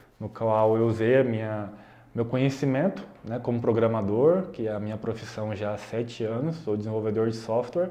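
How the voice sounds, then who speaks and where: He talks at a moderate pace and medium pitch. This man has an ordinary speaking voice with ordinary pitch variation. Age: 20s. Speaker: YouTuber, software developer. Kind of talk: casual vlog explanation. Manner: casual, conversational.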